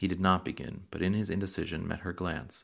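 The speaker talks at a fairly quick pace with vocal fry. The recording is very clean with a silent background. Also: man. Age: 30s. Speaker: podcast host reading books aloud. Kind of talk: reading aloud.

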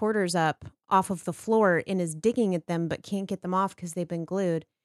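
In a very clean recording with a silent background, a woman with an American accent speaks in a plain, everyday voice at a moderate pace, with ordinary pitch variation and a dry, close sound free of echo. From Texas. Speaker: podcast guest. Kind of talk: casual chat.

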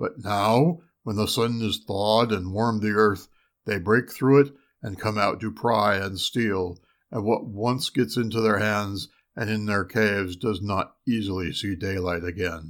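Using a put-on character voice at a fairly low pitch, a man speaks at a moderate pace in a very clean recording with a silent background. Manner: calm, gentle, reassuring.

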